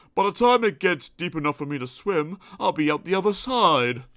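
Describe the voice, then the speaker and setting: Putting on a character voice, a man speaks at a fairly quick pace and high pitch with lively intonation. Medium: read story. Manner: gloomy, sighing.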